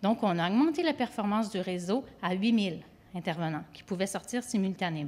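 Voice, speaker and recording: A woman with an ordinary speaking voice talks at a fairly quick pace at a medium pitch, her intonation lively, on a very clean recording with a silent background. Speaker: government project manager. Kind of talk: conference presentation.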